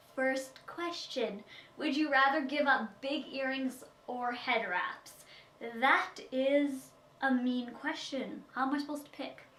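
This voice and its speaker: With noticeable background noise and audible room echo, a woman speaks at a very slow pace and a high pitch. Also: ordinary pitch variation. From Saskatchewan, Canada. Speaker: beauty vlogger. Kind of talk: Q&A vlog.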